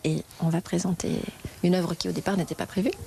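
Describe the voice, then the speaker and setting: A woman speaks at a fairly low pitch. Noticeable background noise runs behind her. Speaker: museum guide. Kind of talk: interview. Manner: fast.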